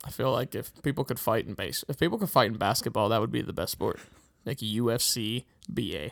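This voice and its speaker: A man with an American accent, fairly quick and lively in intonation, some vocal fry, on a very clean recording with a silent background. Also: medium pitch for a man. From Pittsburgh, US. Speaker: podcast host. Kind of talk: casual chat.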